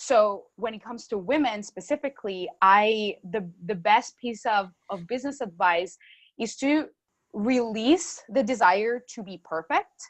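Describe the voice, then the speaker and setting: A woman with a Spanish accent, fairly high in pitch, at a fairly slow pace, with lively intonation and big swings in loudness, against a quiet background. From Colombia. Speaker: marketing consultant. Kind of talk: podcast interview.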